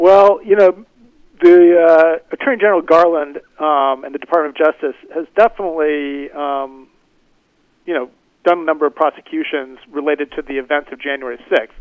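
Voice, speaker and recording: A plain, everyday voice, male and fairly high in pitch, with ordinary pitch variation, big swings in loudness, a fairly quick pace, and a dry, close sound with no echo. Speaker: scholar and security analyst. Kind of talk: radio interview.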